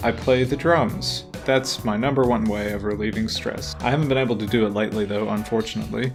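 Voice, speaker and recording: Background music plays. Over it, a man speaks at a moderate speed with ordinary pitch variation. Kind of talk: casual letter reading to camera.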